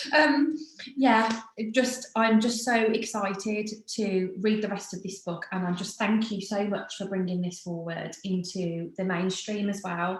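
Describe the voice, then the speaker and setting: With a British accent, a woman talks at a fairly slow pace and ordinary pitch variation. The recording has audible room echo and noticeable background noise. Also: medium pitch for a woman. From Britain. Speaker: podcast host. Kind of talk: casual chat.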